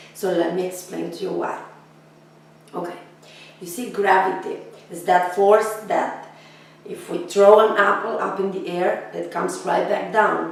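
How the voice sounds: In strong room echo, a woman with a fairly low, raspy voice and vocal fry speaks fairly slowly with fairly even intonation.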